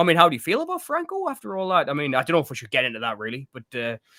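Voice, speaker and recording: A man talks at a very fast pace in a Northeast English accent. His pitch is high and swings very widely. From Northeast England. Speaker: film podcast co-host. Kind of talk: casual chat. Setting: live stream.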